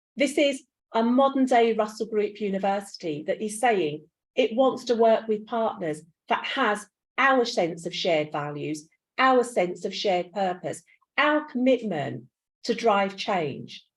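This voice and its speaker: A woman speaks at a fairly slow pace with a London accent. Her fairly high voice has lively intonation. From East End of London. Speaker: university pro vice chancellor. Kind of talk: conference speech. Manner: animated.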